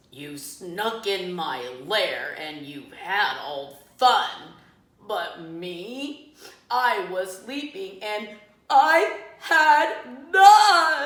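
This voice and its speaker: Using a put-on character voice, a woman growls and rumbles at a very slow pace in a medium pitch, with slight echo. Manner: grumbling.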